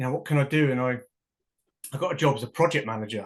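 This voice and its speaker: Very fast in pace, a man speaks at medium pitch with ordinary pitch variation against a quiet background. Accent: London. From England. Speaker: professional football kicker. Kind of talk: casual chat. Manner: animated.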